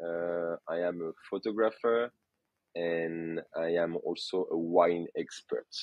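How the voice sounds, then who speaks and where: The voice moves at a very slow pace with fairly even intonation. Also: man, very deep, low pitch for a man. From France, Burgundy. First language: French. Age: 30s. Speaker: photographer and wine expert. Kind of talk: casual interview. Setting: podcast. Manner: halting.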